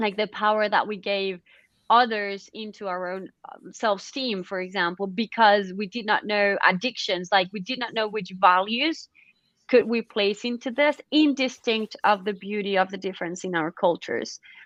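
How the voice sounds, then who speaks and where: A woman with a non-native accent talks at a moderate pace and a medium pitch, using ordinary pitch variation. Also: big swings in loudness. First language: not English. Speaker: panel moderator. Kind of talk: online panel discussion. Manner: halting, many fillers and restarts.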